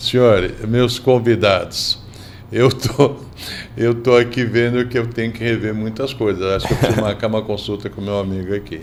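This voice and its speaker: A man keeps his intonation fairly even and his speed moderate while background noise is clearly audible. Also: medium pitch for a man. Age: 70s. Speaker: podcast host. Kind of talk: casual podcast interview.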